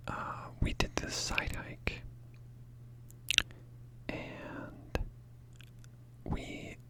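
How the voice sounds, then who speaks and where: Whispering in a relaxed tone, a man speaks at a very slow pace with long, frequent pauses against noticeable background noise. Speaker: ASMR content creator. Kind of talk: casual talk to camera. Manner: relaxed, rambling, quiet.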